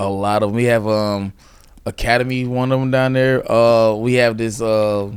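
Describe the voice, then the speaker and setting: The speaker has a Southern US accent and a monotone, flat intonation. The pace is moderate. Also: man, medium pitch for a man. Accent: Southern US (Georgia). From US South, central Georgia. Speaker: stand-up comedian. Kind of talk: casual chat.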